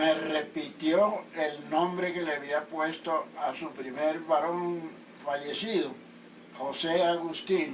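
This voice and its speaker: Audible room echo surrounds a man's fairly high voice. He speaks very slowly. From Colombian Caribbean coast, Atlántico (Sabanalarga). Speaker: interviewee recounting his life. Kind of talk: interview.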